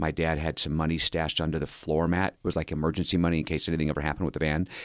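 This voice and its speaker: On a very clean recording with a silent background, a man talks with an American accent. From Southern California. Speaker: former prisoner turned rehabilitation leader. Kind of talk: interview storytelling.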